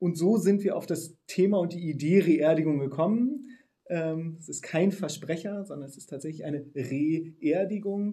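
A man with a high pitch and dark, mellow tone talks at a fairly slow pace, his pitch varying ordinarily and his loudness swinging widely. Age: 40s. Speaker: funeral startup founder. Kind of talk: interview.

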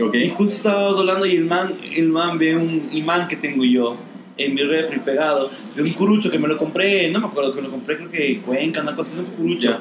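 A man talks at a fairly quick pace in a fairly high pitch, his intonation lively. Noticeable background noise and audible room echo fill the recording. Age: 40s. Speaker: comedian. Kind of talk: casual chat.

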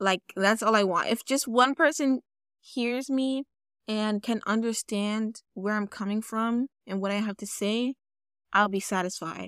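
A woman has an unremarkable speaking voice, fairly high in pitch with ordinary pitch variation, at a fairly slow pace. The sound is dry and close with no echo, on a very clean recording with a silent background. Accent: American. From New York, the Bronx. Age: 20s. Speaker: podcast host and poet. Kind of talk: casual monologue; poetry reading.

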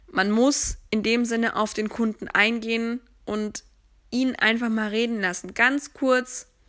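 Against a quiet background, a woman with a bright, sharp tone and a fairly high pitch speaks at a very slow pace, her pitch varying in an ordinary way. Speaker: sales professional and podcast host. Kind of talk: solo podcast monologue.

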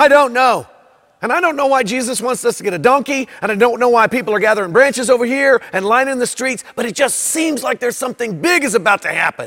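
Putting on a character voice, a man talks at an extremely high pitch with a fairly bright tone, lively intonation, a fairly quick pace and few pauses.

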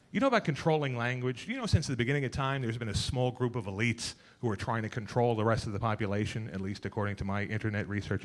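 At a very fast pace, a man talks in a New York accent. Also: medium pitch for a man, ordinary pitch variation, hardly any pauses. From Queens, New York. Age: middle-aged. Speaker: comedian. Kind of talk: stand-up. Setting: stage with audience.

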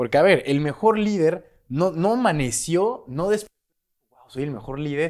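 A man's high-pitched voice, animated in tone, with very wide pitch swings. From Mexico, Guadalajara, Jalisco. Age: 20s. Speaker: YouTuber on leadership and crypto. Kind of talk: solo video monologue.

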